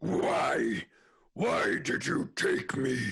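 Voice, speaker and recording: A man puts on a character voice. He growls as part of the act. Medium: audio drama. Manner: aggrieved, emotional.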